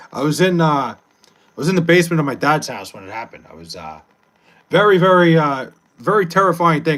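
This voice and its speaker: A man with a New York accent, fairly high pitch, ordinary pitch variation, an animated tone, big swings in loudness and a very fast pace. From New York, Long Island. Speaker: livestreamer. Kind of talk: casual chat with live chat. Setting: livestream.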